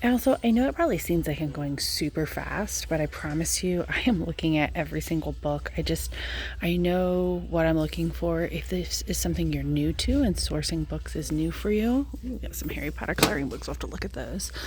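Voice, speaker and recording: With hardly any pauses, a woman talks at a fairly quick pace in a room with audible echo. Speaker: reseller vlogger. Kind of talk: casual vlog narration. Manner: fast.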